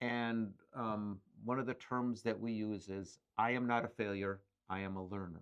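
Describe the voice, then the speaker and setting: A man with an Upper Midwest accent, fairly low in pitch, at a fairly slow pace with fairly even intonation. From Ironwood, Michigan. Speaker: business owner. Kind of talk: interview answer. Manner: casual, conversational.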